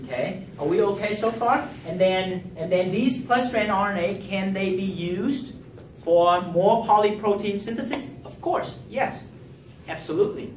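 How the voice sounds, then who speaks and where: A man's high-pitched voice with ordinary pitch variation at a fairly slow pace, amid noticeable background noise and audible room echo. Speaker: professor. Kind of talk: lecture. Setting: classroom with students. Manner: halting.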